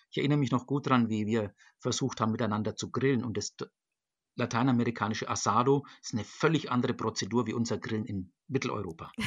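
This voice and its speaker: Against a quiet background, a man talks at a very fast pace. His intonation stays fairly even. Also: medium pitch for a man. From Germany, Nuremberg (Franconia). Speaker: church diocesan official for global church work. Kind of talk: interview. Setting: video call from home. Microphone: computer connection.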